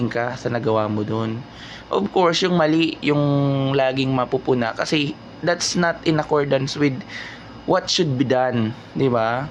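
A man's voice with lively intonation and a fairly slow pace, over noticeable background noise. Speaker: vlogger reacting to news. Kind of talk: casual commentary. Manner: animated.

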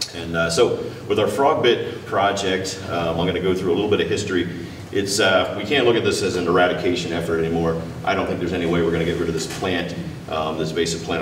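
Over light background noise and audible room echo, a man with a very deep, low pitch talks at a very fast pace with fairly even intonation. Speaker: presenter. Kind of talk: lecture. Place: hall.

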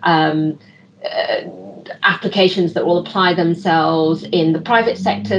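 A woman with a British accent and a fairly low pitch, over light background noise. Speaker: expert giving closing remarks; panel discussant. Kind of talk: closing remarks. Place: home room. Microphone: video call.

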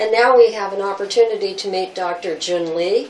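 A woman talks at a fairly quick pace with a medium pitch and ordinary pitch variation. Room echo is audible.

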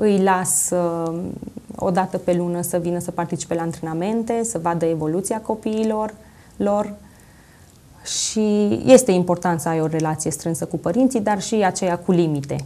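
A woman's fairly low voice with a dark, mellow tone. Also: ordinary pitch variation, moderate pace. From Romania, Zalău; Romania. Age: 20s. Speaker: coach, talk show guest. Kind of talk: TV interview. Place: studio. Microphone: lapel.

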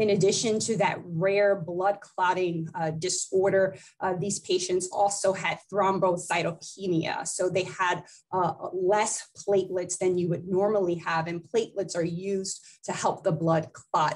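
A woman speaks fairly slowly in a monotone, flat intonation against a quiet background. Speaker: physician and public health executive. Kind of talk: interview. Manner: formal. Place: office. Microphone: webcam.

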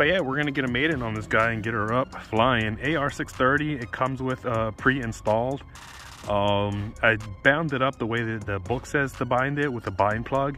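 A man is heard in a dry recording with no echo. Faint music plays behind him. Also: ordinary pitch variation, moderate pace. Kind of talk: casual vlog chat. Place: street.

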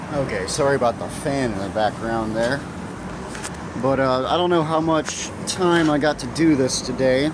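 The speech moves at a fairly slow pace, the sound is dry with no echo, and there is noticeable background noise. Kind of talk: tutorial. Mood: casual, self-deprecating. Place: factory. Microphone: phone near.

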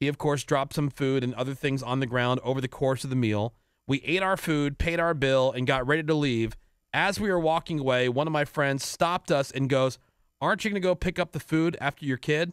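A man with a fairly high pitch talks at a fairly quick pace with ordinary pitch variation and very even loudness, a normal speaking voice recorded dry with no echo over a quiet background. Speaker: radio host. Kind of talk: casual chat. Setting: studio. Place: studio. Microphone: studio mic.

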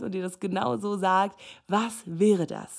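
A woman's voice with ordinary pitch variation. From Namibia. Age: 30s. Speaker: life and relationship coach. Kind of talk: solo podcast talk. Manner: animated.

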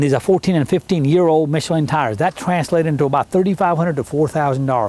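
The sound here is dry, without echo. A man talks with ordinary pitch variation. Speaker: vehicle salesman. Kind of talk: sales walkaround commentary. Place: street. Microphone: camera far.

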